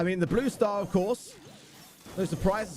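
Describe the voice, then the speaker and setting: This man talks fairly quickly in a high-pitched voice whose pitch varies in an ordinary way. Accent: British. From Britain. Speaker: esports caster. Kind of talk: live commentary.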